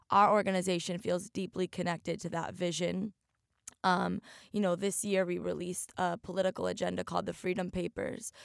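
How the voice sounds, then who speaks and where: A woman at medium pitch with vocal fry, monotone, flat intonation and a fairly quick pace, in a dry, close sound with no echo. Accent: American. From Oregon. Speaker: activist. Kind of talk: interview. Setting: remote studio.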